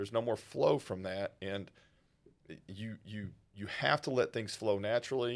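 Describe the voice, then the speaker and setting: In a Texas accent, a man talks with ordinary pitch variation on a very clean recording with a silent background. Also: fairly low pitch for a man, moderate pace. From rural North Texas. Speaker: wealth manager. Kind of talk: casual interview.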